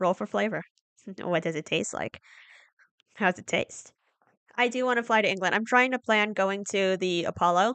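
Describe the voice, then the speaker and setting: A woman speaks at medium pitch with an American accent, ordinary pitch variation and a moderate pace, leaving long, frequent pauses. The sound is dry and close with no echo, over a quiet background. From United States. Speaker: streamer. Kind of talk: casual chat. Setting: live stream.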